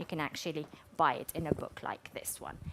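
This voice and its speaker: A woman speaks at a moderate pace with an Arabic accent. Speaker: researcher of Arabic manuscripts. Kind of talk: public talk with audience. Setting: museum studio with audience.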